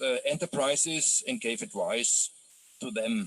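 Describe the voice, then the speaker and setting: A man speaks with a German accent at a fairly slow pace. His pitch swings very widely. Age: 60s. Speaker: journalist. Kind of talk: online lecture. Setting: video call. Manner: hesitant, many fillers.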